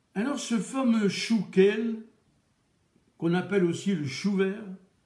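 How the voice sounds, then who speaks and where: A man speaks very slowly with a Charente accent and a high pitch. His tone is dark and mellow. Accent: Charente regional French. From France, Charente. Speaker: chef and radio host. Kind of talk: cooking radio show talk. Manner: casual, with hesitations.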